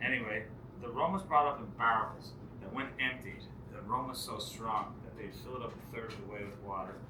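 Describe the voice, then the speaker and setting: A man of medium pitch talks at a fairly quick pace with ordinary pitch variation and big swings in loudness. Noticeable background noise runs underneath. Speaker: pub host, screech-in ceremony leader. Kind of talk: pub ceremony storytelling to an audience.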